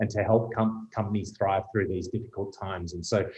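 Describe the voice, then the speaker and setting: This man has an Australian accent and a medium pitch. His voice is somewhat breathy. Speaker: retail executive. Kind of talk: panel discussion.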